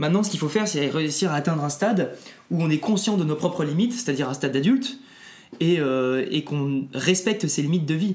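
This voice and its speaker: Fairly quick, lively speech from a man in a normal speaking voice, pitched fairly high for a man. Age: 20s. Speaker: climate activist. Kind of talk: casual interview conversation.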